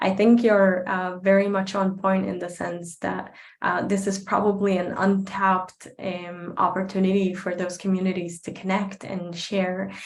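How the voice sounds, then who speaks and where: A woman with an Arabic accent speaks at a moderate pace and medium pitch, with monotone, flat intonation, hardly any pauses and audible room echo. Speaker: advocate and speaker. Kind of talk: Q&A answer at online talk.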